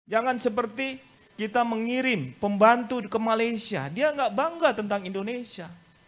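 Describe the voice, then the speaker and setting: A fairly slow woman's voice, its pitch varying in an ordinary way. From Bugis, Indonesia.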